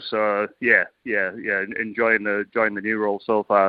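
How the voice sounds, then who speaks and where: The speaker is a man. He has a British accent. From UK. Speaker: cricket assistant coach. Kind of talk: radio interview.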